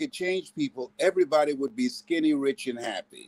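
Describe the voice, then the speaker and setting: In a dry, close sound with no echo, a man speaks with very wide pitch swings. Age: 70s. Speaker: motivational speaker. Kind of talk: motivational talk. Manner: animated.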